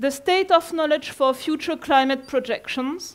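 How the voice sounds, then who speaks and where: A woman with a French accent speaks fairly slowly at an extremely high pitch with ordinary pitch variation, on a very clean recording with a silent background. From France. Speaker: climate scientist. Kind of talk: lecture. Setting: conference room with audience.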